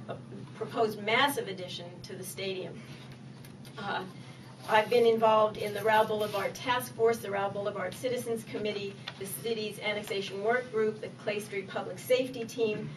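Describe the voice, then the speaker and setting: A woman's fairly high voice with an American accent, ordinary pitch variation and big swings in loudness, in audible room echo. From Maryland, Annapolis. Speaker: political candidate. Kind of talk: campaign speech at candidate forum. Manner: fast.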